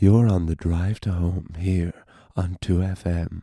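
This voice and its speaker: A man's put-on character voice, very deep and low, very slow, with fairly even intonation. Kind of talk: smooth broadcast delivery. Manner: low, smooth, rhythmic.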